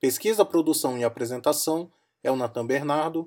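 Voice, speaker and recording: The voice has a dark, mellow tone, ordinary pitch variation and a moderate pace, on a very clean recording with a silent background. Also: man. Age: 30s. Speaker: university student podcast co-host. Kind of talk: casual discussion; scripted outro.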